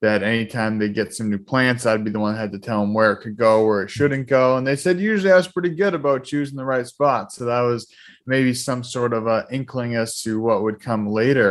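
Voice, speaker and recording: A man with a slight Boston accent, medium-pitched, at a fairly quick pace with ordinary pitch variation, in a very clean recording with a silent background. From Boston area, Massachusetts. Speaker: holistic lifestyle coach. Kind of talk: casual interview chat.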